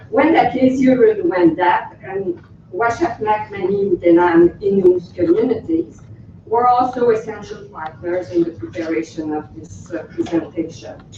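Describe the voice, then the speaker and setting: A woman with a Quebec accent speaks with lively intonation and big swings in loudness. Noticeable background noise runs underneath. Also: medium pitch for a woman, moderate pace. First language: French. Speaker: researcher. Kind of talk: conference presentation. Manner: hesitant; reading from text.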